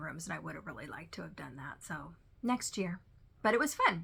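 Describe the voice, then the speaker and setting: Bright and sharp in tone, a woman speaks at a fairly quick pace with vocal fry and ordinary pitch variation. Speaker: cross-stitch video creator. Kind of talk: casual chat. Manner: loud.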